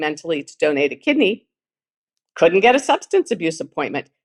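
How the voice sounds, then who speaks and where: With lively intonation and a fairly low pitch, a woman speaks in a plain, everyday voice, the sound dry and close with no echo. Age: 60s. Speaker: living kidney donor and author. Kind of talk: conference talk. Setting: virtual symposium.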